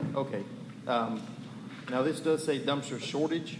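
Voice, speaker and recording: Amid noticeable background noise and audible room echo, a man with an American accent talks at a fairly quick pace with ordinary pitch variation. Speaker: public commenter, waste company representative. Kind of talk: public comment at council meeting. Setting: town council meeting.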